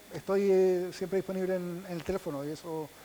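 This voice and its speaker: A man with a Chilean accent speaks at a fairly quick pace. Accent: Chilean accent, still noticeable. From Chile, Punta Arenas (Patagonia). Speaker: visual effects specialist. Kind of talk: panel talk. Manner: halting, many repetitions.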